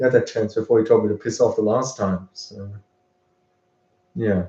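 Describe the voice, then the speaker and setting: A man talks at a fairly quick pace. His voice is fairly low in pitch, with a dark, mellow tone. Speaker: vlogger streamer. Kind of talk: casual livestream chat. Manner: halting, many repeated words; loud.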